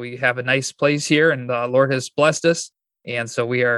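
With a normal speaking voice, a man speaks at a moderate pace with fairly even intonation. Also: dry, close sound with no echo. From Michigan, US. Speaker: pastor and church planter. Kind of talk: interview.

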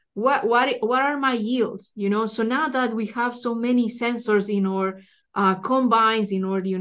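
With a Spanish accent, a woman speaks at a fairly high pitch and a moderate pace against a quiet background. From Ecuador. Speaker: soil scientist. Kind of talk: interview. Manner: halting, many fillers and repetitions.

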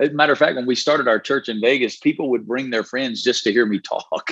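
In a Southern US accent, a man speaks at a fairly quick pace and medium pitch with ordinary pitch variation. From Alabama, US South. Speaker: pastor. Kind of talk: interview.

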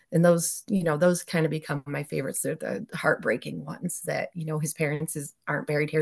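A woman's very deep, low pitch with vocal fry and fairly even intonation, at a fairly quick pace in an American accent, over a quiet background. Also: dry, close sound with no echo. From central New York. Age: 40s. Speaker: teacher and headstone cleaner. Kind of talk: casual interview chat.

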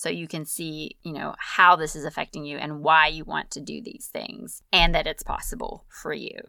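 Over a very clean recording with a silent background, a woman with a very deep, low pitch and vocal fry speaks at a moderate pace in an upbeat, bright, sharp tone. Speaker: life coach podcast host. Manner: casual, chatty, upbeat, laughs often.

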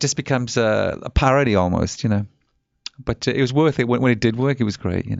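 Speaking fairly quickly, a man has an English accent. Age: 50s. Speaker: rock musician. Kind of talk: casual interview. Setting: studio.

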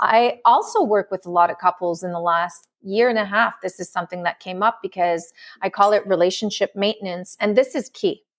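In a slight French accent, a woman at a medium pitch talks at a fairly quick pace with hardly any pauses and fairly even intonation, in a dry, close sound with no echo on a very clean recording with a silent background. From France. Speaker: love and relationship coach. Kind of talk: interview.

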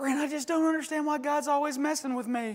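Talking at a very fast pace, a man does a put-on character voice with an extremely high pitch. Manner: whiny, complaining.

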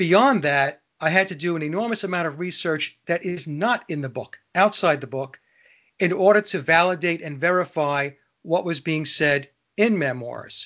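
A man's bright, sharp, high-pitched voice with ordinary pitch variation at a moderate pace. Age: 60s. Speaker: radio host. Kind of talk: casual chat.

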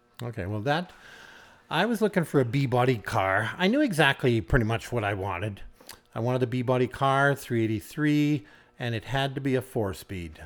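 A man with a Canadian prairie accent, medium pitch and a moderate pace. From rural Saskatchewan, Canada. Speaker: retired farmer and car collector. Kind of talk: casual interview.

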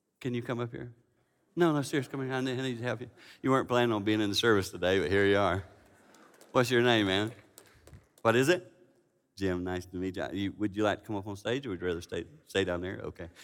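Speaking at a very fast pace but with long, frequent pauses, a man uses a fairly low pitch and ordinary pitch variation. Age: 50s. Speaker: preacher. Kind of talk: sermon.

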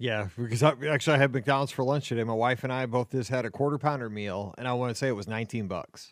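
Barely pausing, a man with an American accent rattles along at a very fast pace, his medium pitch varying in an ordinary way. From US Midwest. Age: 40s. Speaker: podcast host.

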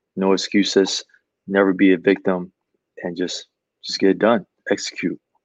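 Using an American accent, a man speaks at a moderate pace with long, frequent pauses. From Chicago, South Side. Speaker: army veteran, financial advisor. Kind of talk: interview. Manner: halting, many fillers and repeats.

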